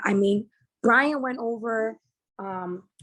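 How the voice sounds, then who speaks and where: A woman with a New Jersey accent, animated in tone, with ordinary pitch variation. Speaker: trading educator. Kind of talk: sales pitch.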